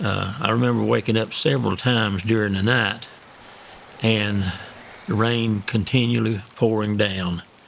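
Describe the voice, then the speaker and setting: With an Appalachian accent, a man speaks in a fairly even tone over noticeable background noise. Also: fairly low pitch for a man, moderate pace. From Eastern Kentucky, Harlan and Letcher County. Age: 70s. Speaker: flood survivor, longtime resident. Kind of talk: interview testimony. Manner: halting.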